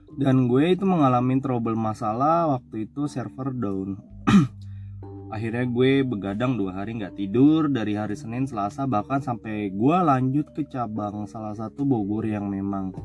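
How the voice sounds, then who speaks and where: With music in the background, a man of medium pitch talks at a moderate pace with ordinary pitch variation. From Indonesia, Tangerang. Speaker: horror storyteller. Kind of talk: casual storytelling.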